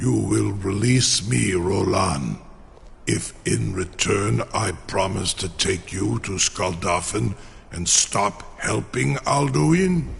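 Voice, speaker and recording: A man's put-on character voice, very deep and low, at a very slow pace over clear background noise. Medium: video game. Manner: slow, formal, proud.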